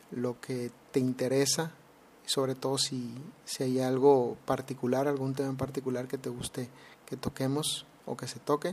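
Monotone, flat intonation from a man at medium pitch, delivered at a fairly slow pace. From Mexico, Mexicali, Baja California. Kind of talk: solo podcast monologue. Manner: hesitant, frequent fillers and repetitions.

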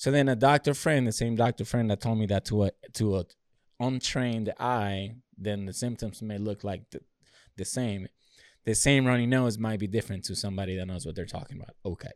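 A man with a normal speaking voice talks at a fairly quick pace in an American accent, medium in pitch with ordinary variation. The recording is very clean with a silent background and a dry, close sound with no echo. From a developing country outside the US. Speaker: podcast co-host, military veteran. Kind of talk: casual chat.

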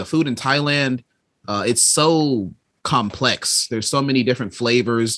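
A plain, everyday voice from a man with an American accent, medium pitch, ordinary pitch variation and a moderate pace. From Chicago. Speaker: stand-up comedian. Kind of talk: casual chat.

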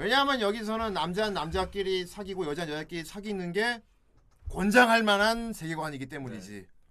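A man speaks at a fairly quick pace in a raised, projected voice with a high pitch. His tone is animated, with big swings in loudness. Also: ordinary pitch variation. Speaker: podcast host. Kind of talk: casual chat.

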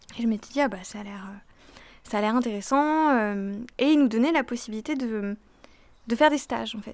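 A woman speaks at a moderate pace and a fairly high pitch, with ordinary pitch variation. Her loudness swings widely, and she leaves long, frequent pauses. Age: 20s. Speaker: law student. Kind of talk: interview testimony.

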